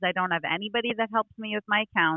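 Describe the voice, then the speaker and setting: A woman speaks with a New York accent at a medium pitch, her pitch varying in an ordinary way. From New York, Brooklyn. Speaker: country singer. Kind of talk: casual interview.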